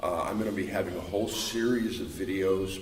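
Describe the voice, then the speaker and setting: A very deep, low-pitched man at a moderate pace, with audible room echo and noticeable background noise. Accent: American. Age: 60s. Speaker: martial arts instructor. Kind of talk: casual video introduction. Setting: fight club gym. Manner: halting, many filler uhs.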